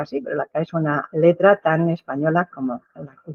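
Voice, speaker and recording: A plain, everyday voice at a fairly slow pace, with ordinary pitch variation. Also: woman. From Basque Country, San Sebastián. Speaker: professor. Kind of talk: lecture. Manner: formal.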